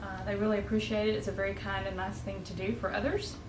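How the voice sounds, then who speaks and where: A woman is speaking with audible room echo. Noticeable background noise runs behind her. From US South. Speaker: home cooking video host. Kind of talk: cooking tutorial. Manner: casual, conversational with filler words.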